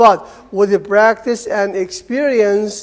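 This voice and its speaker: A man with an Arabic accent talks at a moderate pace with ordinary pitch variation. Noticeable background noise can be heard. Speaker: Arabic language lecturer. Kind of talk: seminar talk. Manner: informal, conversational.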